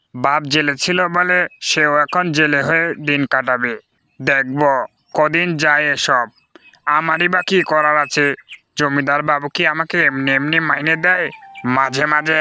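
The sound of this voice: A man uses a cartoonish character voice with a fairly high pitch. He keeps a moderate pace, very even loudness and fairly even intonation.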